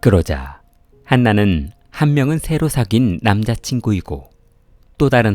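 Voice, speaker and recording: Music plays in the background. The voice moves at a very slow pace with very wide pitch swings. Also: man. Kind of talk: true crime story narration.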